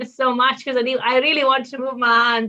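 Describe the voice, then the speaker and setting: A woman talks with an Italian accent. Her pace is fairly quick. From Italy. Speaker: doctor. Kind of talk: interview.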